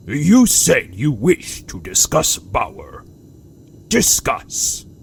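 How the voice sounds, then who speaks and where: A man adopts a put-on character voice and talks very slowly. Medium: read story. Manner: curt, scornful.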